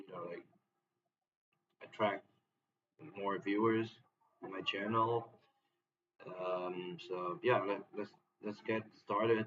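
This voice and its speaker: Speaking very slowly with a non-native accent, a man uses a fairly low pitch and ordinary pitch variation, leaving long, frequent pauses while his loudness swings widely. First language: not English. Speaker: streamer reacting to videos. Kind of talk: live stream reaction commentary.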